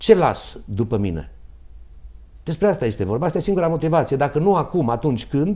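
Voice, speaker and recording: A man speaks fairly quickly in a fairly high voice with a dark, mellow tone and vocal fry. His pitch swings very widely against a quiet background. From Romania, Târgu Mureș; Romania. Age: 50s. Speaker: doctor and mayoral candidate; candidate. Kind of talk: political debate. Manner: halting. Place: studio. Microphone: lapel.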